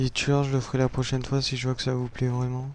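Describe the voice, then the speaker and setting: This man speaks at a fairly quick pace. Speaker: gaming youtuber. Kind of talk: gameplay commentary.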